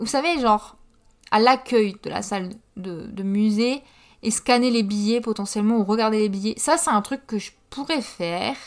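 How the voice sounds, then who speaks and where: A woman talks at a moderate pace in a normal speaking voice, with ordinary pitch variation. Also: fairly high pitch for a woman, very clean recording, silent background. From northern France, Pas-de-Calais. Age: 20s. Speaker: podcaster. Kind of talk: casual monologue. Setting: home.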